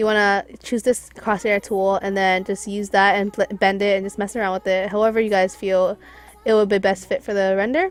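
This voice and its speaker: With music in the background, a woman speaks at medium pitch and a fairly quick pace, her intonation fairly even. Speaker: graphics designer, tutorial maker. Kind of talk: tutorial. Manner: fast; casual, hesitant with fillers.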